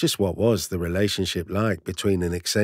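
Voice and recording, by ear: The intonation stays fairly even as the speaker reads aloud in a natural voice.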